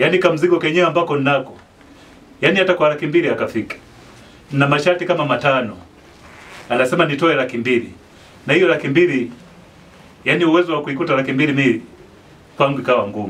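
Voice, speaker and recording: The man talks fairly quickly, and his pitch varies in an ordinary way. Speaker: market street vendor. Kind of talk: interview answer. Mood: complaining but smiling. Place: home room. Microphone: handheld.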